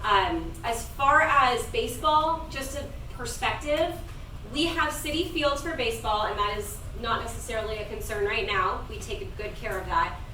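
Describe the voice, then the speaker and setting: Raising and projecting her voice, a woman with an American accent speaks at a high pitch with very wide pitch swings. Audible room echo and noticeable background noise are present. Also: moderate pace. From California, Sacramento area. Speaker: youth sports league board member. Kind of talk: public comment at community meeting. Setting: community meeting. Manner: loud.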